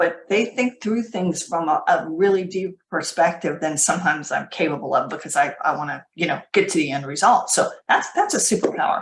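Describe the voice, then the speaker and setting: At a fairly quick pace with hardly any pauses, a woman speaks in a fairly low voice with ordinary pitch variation. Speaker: leadership trainer. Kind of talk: webinar presentation. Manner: fast; animated.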